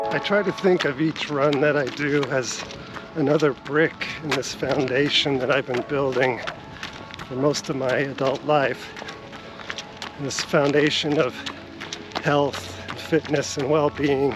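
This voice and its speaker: With music in the background, a man with a fairly high pitch speaks fairly slowly in a monotone, flat intonation, leaving long, frequent pauses. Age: 50s. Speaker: runner and fitness vlogger. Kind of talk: casual vlog narration.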